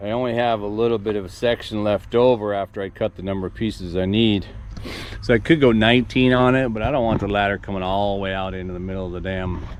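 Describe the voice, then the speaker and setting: Amid noticeable background noise, a man with a fairly low pitch talks very fast with fairly even intonation. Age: 60s. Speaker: farm vlogger doing DIY construction. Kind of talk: casual vlog narration while working. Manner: halting, with many fillers and repeats.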